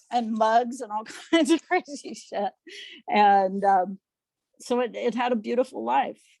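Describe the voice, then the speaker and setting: Talking at a fairly slow pace with long, frequent pauses, a woman with a fairly high pitch uses lively intonation in a dry, close sound with no echo. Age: 60s. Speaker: poet. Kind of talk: casual chat. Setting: video call. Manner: halting.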